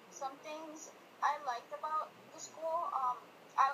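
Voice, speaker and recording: A woman speaks with a Spanish accent. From Colombia. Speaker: student. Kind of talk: interview answers. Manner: hesitant, many fillers.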